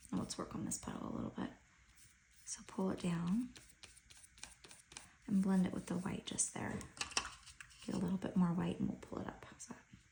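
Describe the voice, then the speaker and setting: A woman talking at a fairly quick clip, with long, frequent pauses and noticeable background noise. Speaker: homeschool art tutor. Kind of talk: tutorial. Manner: casual, relaxed.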